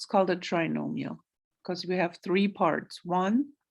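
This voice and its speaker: A woman with vocal fry speaks at a very slow pace, using a medium pitch with ordinary variation. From Germany. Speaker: math teacher. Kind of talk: recorded lecture.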